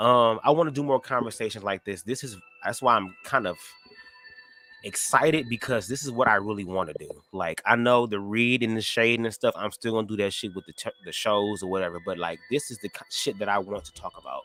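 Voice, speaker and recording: Medium-pitched male speech at a fairly quick pace, with ordinary pitch variation, big swings in loudness and music in the background. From Detroit, US Midwest. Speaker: YouTube live streamer. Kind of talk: casual chat. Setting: livestream. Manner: stutters, fast.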